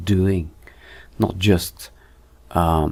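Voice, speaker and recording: A man with a very deep, low pitch. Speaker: 3D and motion design teacher. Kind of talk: tutorial. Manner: slow; halting, many fillers.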